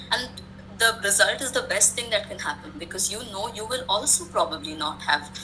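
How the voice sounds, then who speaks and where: Noticeable background noise sits behind a woman's voice. She talks at a moderate pace, and her pitch varies in an ordinary way. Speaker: educational consultant and English teacher. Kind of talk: webinar talk. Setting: online webinar.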